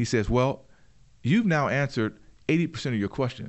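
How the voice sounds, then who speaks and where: The man's intonation is lively and his pitch medium. He moves along at a fairly quick pace. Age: 50s. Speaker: entrepreneur and inventor. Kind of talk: interview.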